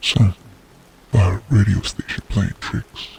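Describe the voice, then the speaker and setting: A man with a fairly low-pitched voice talks as noticeable background noise plays on. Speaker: horror narrator. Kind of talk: first-person horror story reading.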